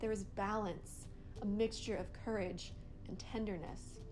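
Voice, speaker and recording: There is music in the background. A woman talks at a moderate pace with monotone, flat intonation. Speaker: poet. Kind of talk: spoken word poetry reading.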